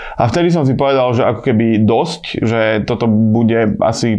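Noticeable background noise surrounds a man whose pitch shows ordinary variation. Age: 30s. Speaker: podcast host. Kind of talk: solo podcast monologue. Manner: casual, filler-heavy.

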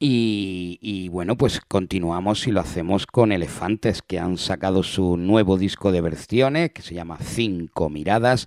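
Speaking at a fairly slow pace, a man with a very deep, low pitch shows ordinary pitch variation and big swings in loudness on a very clean recording with a silent background. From Spain, Granada area. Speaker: radio music show host. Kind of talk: radio presenting. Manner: casual, repetitive filler words.

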